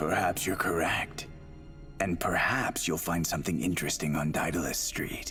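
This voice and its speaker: A man performs a cartoonish character voice with a very deep, low pitch at a moderate pace. Music plays clearly in the background. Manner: sly, teasing.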